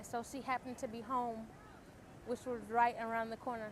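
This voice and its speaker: There is noticeable background noise. Through it, a woman speaks with a fairly high pitch. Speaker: stroke survivor. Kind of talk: testimony. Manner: halting.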